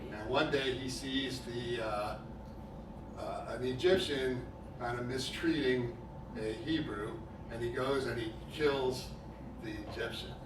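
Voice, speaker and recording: Amid noticeable background noise and audible room echo, a man speaks at a fairly slow pace with fairly even intonation. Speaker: preacher. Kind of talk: sermon. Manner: loud.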